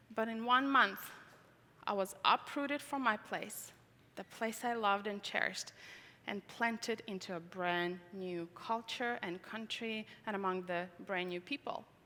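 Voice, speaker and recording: Speaking fairly slowly with a non-native accent, a woman has a bright, sharp tone, a medium pitch and ordinary pitch variation. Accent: foreign. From Tajikistan. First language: Russian. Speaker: conference speaker. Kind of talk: testimony. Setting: stage with audience.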